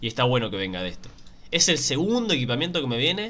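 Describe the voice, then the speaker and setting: A man in a Rioplatense accent, very fast, bright and sharp in tone, animated, with lively intonation. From Argentina. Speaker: gaming YouTuber. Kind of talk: casual gameplay commentary. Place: home room.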